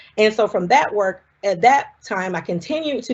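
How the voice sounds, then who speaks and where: Lively intonation in a Southern US accent. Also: woman. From US South, South Carolina. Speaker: scientist. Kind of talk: public talk. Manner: casual, conversational.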